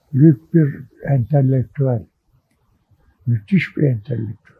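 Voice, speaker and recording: A man with a dark, mellow tone and a somewhat breathy, medium-pitched voice speaks at a very slow pace with ordinary pitch variation, in a dry, close sound with no echo. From Istanbul, Turkey. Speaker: journalist and writer. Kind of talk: oral history interview.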